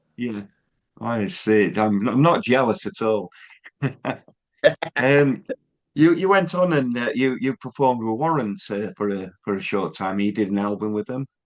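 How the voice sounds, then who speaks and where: Long, frequent pauses break up a man's moderate-paced speech, delivered at a medium pitch with lively intonation. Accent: Yorkshire. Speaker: music interviewer. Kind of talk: interview.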